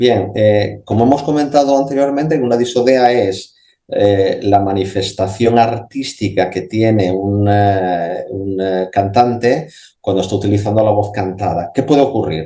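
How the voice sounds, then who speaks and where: Fairly slow delivery from a man with a dark, mellow tone and ordinary pitch variation. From Spain, Asturias. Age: 50s. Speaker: speech therapist and voice specialist. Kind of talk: radio interview answer. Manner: conversational, explanatory, with hesitations.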